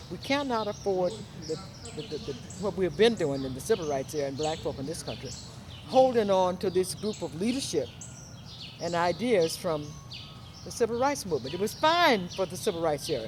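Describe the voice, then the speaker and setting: With an American accent, the speaker talks at a fairly quick pace, using very wide pitch swings and long, frequent pauses. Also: woman, fairly low pitch for a woman. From US South. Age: 70s. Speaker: talk show host. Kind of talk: interview.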